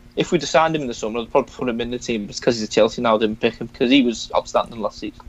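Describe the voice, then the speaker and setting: A man talks in a Liverpool accent. His pace is very fast, with hardly any pauses. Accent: Scouse. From Liverpool, England. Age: 20s. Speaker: football fan and podcaster. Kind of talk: casual chat.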